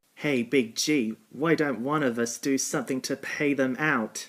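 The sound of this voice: A man does a growling, cartoonish character voice at a medium pitch. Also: moderate pace.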